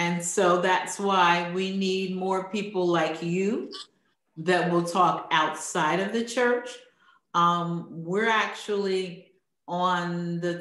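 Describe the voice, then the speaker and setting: Audible room echo surrounds this woman with an American accent. Her pitch is fairly low, and her intonation is fairly even. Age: 60s. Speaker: interview host, online networking founder. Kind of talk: interview.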